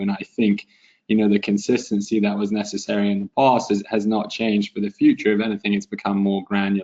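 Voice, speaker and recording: A man speaks at a very fast pace with a non-native accent, his pitch fairly low. His intonation stays monotone and flat, and his tone is dark and mellow. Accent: European, noticeable. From Europe. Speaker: webinar moderator, data compliance specialist. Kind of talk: webinar panel discussion. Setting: conference call webinar.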